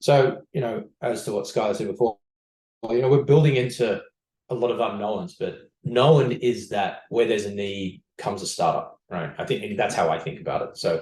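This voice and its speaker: Somewhat breathy, a man at medium pitch speaks with lively intonation. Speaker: startup CEO and co-founder. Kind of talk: podcast interview. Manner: fast; many fillers and restarts.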